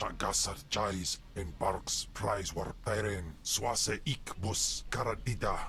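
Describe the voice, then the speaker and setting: A man uses a put-on character voice at a fairly low pitch, going at a fairly slow pace with hardly any pauses. Clear background noise is present. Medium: video game.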